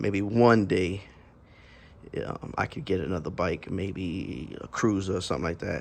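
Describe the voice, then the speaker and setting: A man speaks at a fairly low pitch and moderate pace, with ordinary pitch variation. Vocal fry runs through his voice. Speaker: vlogger, slingshot and motorcycle rider. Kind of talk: casual vlog talk to camera. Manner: halting, many fillers and repeats.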